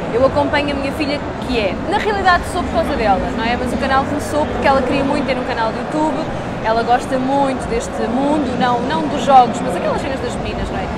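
Over noticeable background noise and audible room echo, a woman talks very fast in a high voice with ordinary pitch variation. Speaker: guest at gaming event, parent of a young gamer. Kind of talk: casual interview. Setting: noisy convention floor. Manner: loud.

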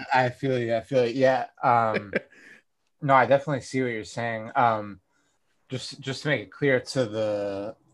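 In an ordinary speaking voice, a man with an American accent talks at medium pitch. His pace is fairly slow and his intonation fairly even. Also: very clean recording, silent background. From US Northeast, Northampton, Massachusetts. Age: 20s. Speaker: political convert, coworker of host. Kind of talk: casual chat.

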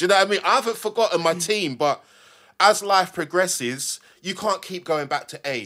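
A man speaks in a bright, sharp tone with ordinary pitch variation. The recording is very clean, with a silent background. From London. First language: not English. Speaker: graffiti artist. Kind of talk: casual chat. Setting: studio.

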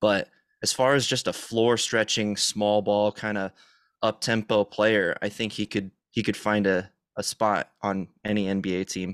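In a dry, close recording with no echo, a man speaks slowly in a fairly low, monotone voice with flat intonation. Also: very clean recording, silent background. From Arizona, Tucson. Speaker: sports podcast host. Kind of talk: casual chat.

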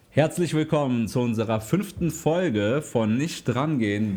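A man's dark, mellow tone with lively intonation at a fairly slow pace. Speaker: podcast co-host. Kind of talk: casual chat.

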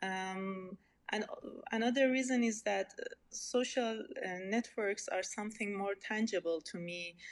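A woman with an Iranian accent speaks at a fairly slow pace with ordinary pitch variation. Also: medium pitch for a woman. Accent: Iranian (Persian) accent in English. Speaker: researcher in social networks. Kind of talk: interview. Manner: halting, many fillers.

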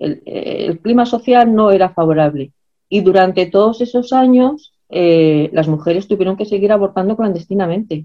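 A woman speaks in a plain, everyday voice at a medium pitch. Her pace is moderate and her pitch varies in an ordinary way. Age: 60s. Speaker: historian and activist. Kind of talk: lecture.

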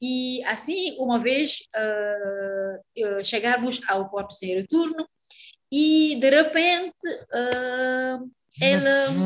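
This woman's voice is high-pitched, with lively intonation. She speaks at a very slow pace. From Senegal, Casamance in the south, raised in Dakar. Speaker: Portuguese teacher. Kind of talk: interview. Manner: halting, with frequent hesitations.

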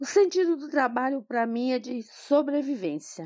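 In a very clean recording with a silent background, a woman with an unremarkable speaking voice talks at a fairly slow pace with lively intonation, the sound dry and close with no echo. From Brazil, migrant from another state. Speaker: school kitchen coordinator. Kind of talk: personal testimony.

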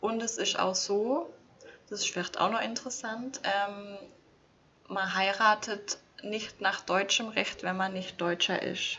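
A woman speaks at a medium pitch with ordinary pitch variation. Her pace is very slow, broken by long, frequent pauses. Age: 20s. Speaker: former registrar. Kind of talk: casual chat.

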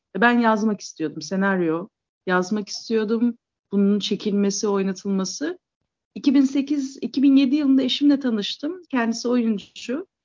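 Somewhat breathy and fairly high, a woman's voice moves at a fairly slow pace with lively intonation. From Istanbul, Turkey. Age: 40s. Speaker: theatre founder and writer. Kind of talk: interview conversation.

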